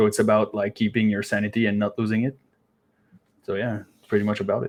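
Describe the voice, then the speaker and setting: Talking at a very fast pace with long, frequent pauses, a man with a Quebec accent has a fairly low pitch. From Quebec, Canada. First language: French. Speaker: band lead vocalist. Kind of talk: casual interview.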